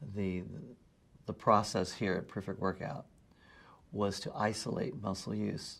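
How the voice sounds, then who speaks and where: A speaker with vocal fry and fairly even intonation talks fairly slowly with long, frequent pauses on a very clean recording with a silent background. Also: man, fairly low pitch for a man. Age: 60s. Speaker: personal training client. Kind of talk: testimonial interview.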